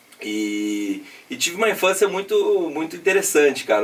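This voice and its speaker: Over noticeable background noise, a man talks at a high pitch with very wide pitch swings. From interior of São Paulo state (Piraju, near Paraná). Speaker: businessman. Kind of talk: podcast interview. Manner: casual, filler-heavy.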